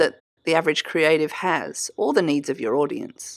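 A woman talks with an Australian accent. The recording is very clean, with a silent background. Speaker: podcast host and creative business coach. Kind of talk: solo podcast teaching monologue.

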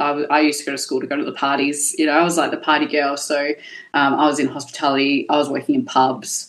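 Very fast, monotone, flat speech from a woman with a very deep, low pitch and an Australian accent. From Perth, Western Australia. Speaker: cosmetic tattoo artist. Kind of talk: casual chat.

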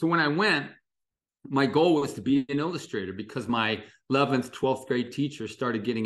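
A man's animated, fairly quick, medium-pitched voice with a Midwestern American accent, lively in intonation, against a quiet background. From US Midwest, Dayton, Ohio. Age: 60s. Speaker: illustrator. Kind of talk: interview conversation.

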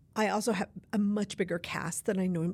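Somewhat breathy female speech, fairly quick in pace. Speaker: novelist. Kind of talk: interview. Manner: animated, gestures with hands.

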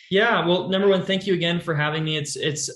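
A man with an American accent and fairly even intonation, amid noticeable background noise and audible room echo. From California. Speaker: software company customer success manager. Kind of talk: interview.

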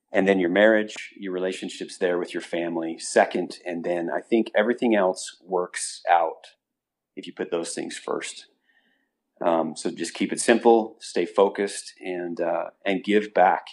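A man talks at a moderate pace with an American accent. The background is quiet. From Utah. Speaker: business owner and horseman. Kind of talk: interview.

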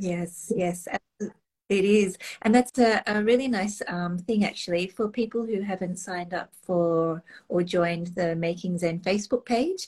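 A woman's somewhat breathy, medium-pitched voice with ordinary pitch variation, at a fairly slow pace. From Australia. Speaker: online retreat host. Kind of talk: casual interview chat.

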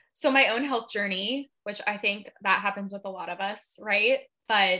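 At a fairly slow pace, a woman with a West Coast US accent speaks at medium pitch in a bright, sharp tone with ordinary pitch variation. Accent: General American, West Coast. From Seattle, US Pacific Northwest. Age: 20s. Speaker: holistic health coach and yoga instructor. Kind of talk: casual interview chat.

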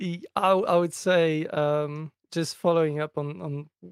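In a dry, close recording with no echo, a man talks at a fairly slow pace in a fairly high pitch, his tone clear and smooth and his intonation fairly even.

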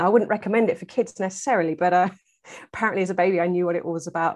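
A woman speaks with an English accent at a fairly low pitch. Her intonation stays fairly even against a quiet background. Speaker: herbalist and foraging teacher. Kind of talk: casual interview.

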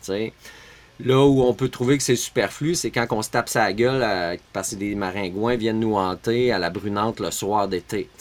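A man speaks with a Quebec accent in a fairly low voice. His pace is moderate and his pitch varies in an ordinary way. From Quebec, Montreal suburbs. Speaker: permaculture teacher and entrepreneur. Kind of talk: casual interview chat.

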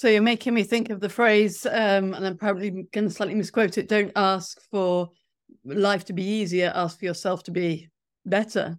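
In a British accent, a woman speaks at a moderate pace and medium pitch with fairly even intonation. The recording is very clean, the background silent. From England. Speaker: podcast host. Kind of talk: interview.

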